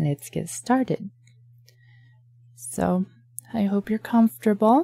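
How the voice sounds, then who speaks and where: Soft-spoken and somewhat breathy, a woman uses a gentle, dark, mellow tone and lively intonation at a very slow pace with long, frequent pauses, in a dry, close sound with no echo. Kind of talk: ASMR bedtime story reading. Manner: gentle, soft-spoken, intimate.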